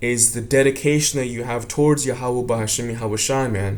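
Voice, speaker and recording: A man at a moderate pace, with audible room echo. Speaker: religious teacher. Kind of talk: religious lesson. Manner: casual.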